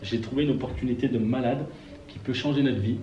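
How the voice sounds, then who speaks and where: Noticeable background noise and audible room echo surround a man speaking at a medium pitch and fairly quick pace with fairly even intonation. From France, Burgundy (Auxerre, Yonne). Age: 40s. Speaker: network marketer and gas agency manager. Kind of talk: interview. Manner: hesitant, with many fillers.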